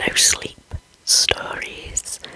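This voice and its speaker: The speech is whispered. Behind it, background noise is noticeable. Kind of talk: whispered ASMR scary story reading.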